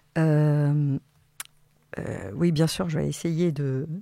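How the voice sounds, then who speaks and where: On a very clean recording with a silent background, a woman speaks in a very deep, low pitch with a dark, mellow tone and fairly even intonation. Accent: Catalan. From Catalonia, Spain; Alsace from age 8. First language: Catalan (speaking French). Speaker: psychiatric nurse and education researcher. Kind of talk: radio interview. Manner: hesitant, many fillers.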